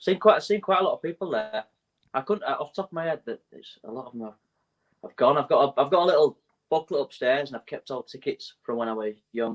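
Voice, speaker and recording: Talking at a very fast pace with a Leeds accent, a fairly high-pitched man uses lively intonation and big swings in loudness, and the sound is dry and close with no echo. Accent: northern English, Leeds. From Leeds, northern England (Morley). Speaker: musician. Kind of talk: casual interview.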